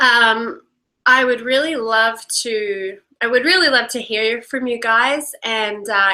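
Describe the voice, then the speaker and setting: With an American accent, the speaker talks at a fairly slow pace in a bright, sharp tone. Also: woman. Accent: Australian, muddled by years in Los Angeles. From Australia. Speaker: workshop leader and coach. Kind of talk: live online workshop with guided reflection. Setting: live video stream. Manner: hesitant, many fillers.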